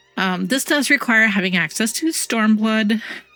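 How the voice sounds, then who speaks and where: A woman speaks in a medium pitch. Music plays in the background. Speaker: gaming content creator. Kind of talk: casual talk to camera.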